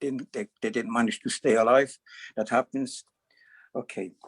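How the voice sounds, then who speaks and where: His intonation is monotone and flat. The man's voice sounds dry and close, with no echo. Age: 70s. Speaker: network marketer. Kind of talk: presentation. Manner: halting.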